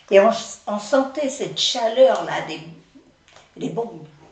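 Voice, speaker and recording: Lively intonation carries through at a very slow pace. The room echo is audible, and background noise is noticeable. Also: woman. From France, Nantes area. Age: 80s+. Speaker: retirement home resident. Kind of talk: testimony. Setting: interview by children.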